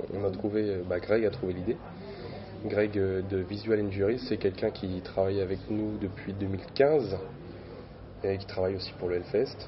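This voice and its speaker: A man speaks at a fairly low pitch and a fairly slow pace, with fairly even intonation. He leaves long, frequent pauses, and noticeable background noise can be heard. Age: 20s. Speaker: metal band musician. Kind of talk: interview. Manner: hesitant, many fillers.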